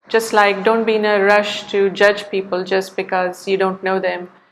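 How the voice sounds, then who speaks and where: At a medium pitch, this woman keeps to a moderate pace. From India. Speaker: artist. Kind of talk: interview.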